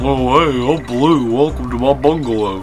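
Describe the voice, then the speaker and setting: Using a put-on character voice, a man talks at a moderate pace over clear background noise. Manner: cartoonish, friendly.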